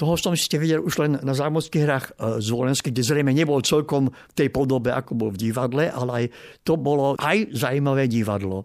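Heard in a very clean recording over a silent background, a man with an ordinary speaking voice talks fairly quickly at a medium pitch with ordinary pitch variation. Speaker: opera critic. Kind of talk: interview.

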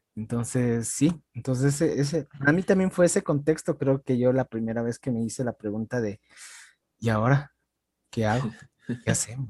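A man's normal speaking voice at medium pitch, ordinary pitch variation and a moderate pace, dry and close with no echo, over a quiet background. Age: 30s. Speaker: podcast host. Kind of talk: casual chat.

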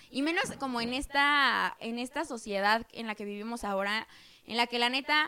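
A woman talks in a raised, projected voice at a high pitch. Her tone is bright and sharp. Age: 20s. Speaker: podcast co-host, office worker in finance. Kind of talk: casual chat.

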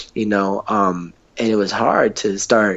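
A man with an American accent speaks in a very deep, low voice with monotone, flat intonation. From US Northwest, Seattle. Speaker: hip hop artist and youth program director. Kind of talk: casual interview chat. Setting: remote call. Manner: halting, many fillers.

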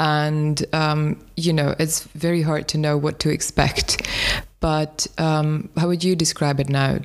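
The speech comes at a very slow pace in a flat monotone, with very even loudness. Noticeable background noise runs underneath. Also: woman, very deep, low pitch for a woman. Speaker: podcast host. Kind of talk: interview conversation.

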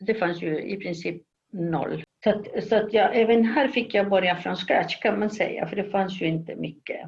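A woman speaks at a moderate pace with a Spanish accent, her voice somewhat breathy, medium in pitch, and ordinary in its pitch variation. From Chile. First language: Spanish (speaking Swedish). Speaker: professor of human geography. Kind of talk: interview. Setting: video call.

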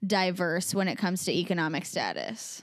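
Speaking at a fairly slow pace with a Midwestern US accent, a woman comes through on a very clean recording over a silent background. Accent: US Midwest. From Des Moines, Iowa. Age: 20s. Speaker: podcast co-host. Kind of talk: casual chat.

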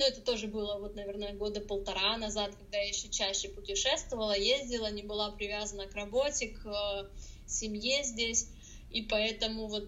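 The woman's pitch is fairly high. Noticeable background noise and audible room echo fill the recording. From Russia. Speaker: blogger. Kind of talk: podcast interview. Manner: hesitant, many filler sounds.

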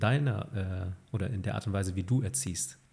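Somewhat breathy and dark, mellow in tone, a man with a fairly low pitch talks at a moderate pace with lively intonation. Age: 30s. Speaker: podcast host. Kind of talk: interview.

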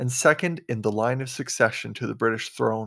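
A man has a normal speaking voice with ordinary pitch variation. He talks at a moderate pace in a very clean recording with a silent background. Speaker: poetry podcast host and reader. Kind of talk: poetry reading aloud. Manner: formal, reverent.

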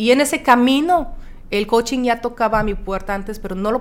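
A woman talks fairly quickly, and her intonation is lively. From France. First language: French (speaking Spanish). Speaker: horse-assisted coach and businesswoman. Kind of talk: interview.

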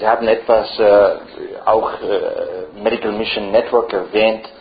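Over noticeable background noise and audible room echo, a man with an English accent speaks very slowly with fairly even intonation. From Ireland. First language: English (speaking German). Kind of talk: lecture.

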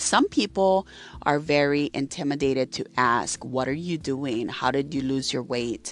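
A woman speaks at a very deep, low pitch with ordinary pitch variation. Her pace is fairly slow. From Hawaii (Maui). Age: 30s. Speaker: podcast host. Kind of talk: casual monologue. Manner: casual, with frequent fillers.

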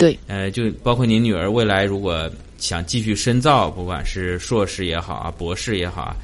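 Using a normal speaking voice, a man talks at a moderate pace with a fairly low pitch. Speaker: podcast host. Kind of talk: interview.

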